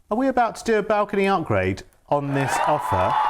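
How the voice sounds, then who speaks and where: With a Yorkshire accent, a man speaks with very wide pitch swings. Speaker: TV shopping presenter. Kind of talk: live TV sales pitch. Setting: TV studio, live broadcast. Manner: animated, enthusiastic.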